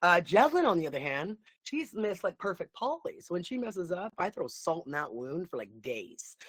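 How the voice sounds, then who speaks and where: A woman at medium pitch speaks loudly in an animated tone, fairly quickly and with hardly any pauses. Her pitch swings very widely, and the sound is dry and close with no echo. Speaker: online coach. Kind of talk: livestream. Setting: live video stream.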